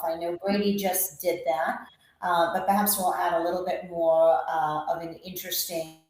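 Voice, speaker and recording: In an American accent, a woman speaks fairly slowly with a fairly low pitch. Her intonation is monotone and flat, and room echo is audible. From England. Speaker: screening industry executive. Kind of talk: webinar presentation.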